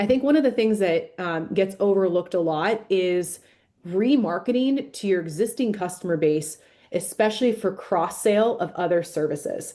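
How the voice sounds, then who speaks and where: Against a quiet background, a woman talks at a medium pitch with lively intonation and a dark, mellow tone. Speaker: marketing agency president. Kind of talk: webinar presentation. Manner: fast.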